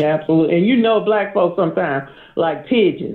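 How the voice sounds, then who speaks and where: Moving along fairly quickly, a man talks with ordinary shifts in pitch. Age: 50s. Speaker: caller. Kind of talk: casual chat. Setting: phone call. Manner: animated.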